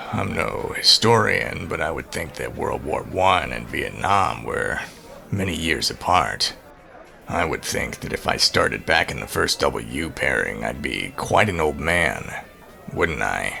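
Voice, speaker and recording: A man puts on a character voice, raspy and very deep, at a fairly slow pace. Clear background noise runs behind him. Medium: audio drama. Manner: curt, sardonic.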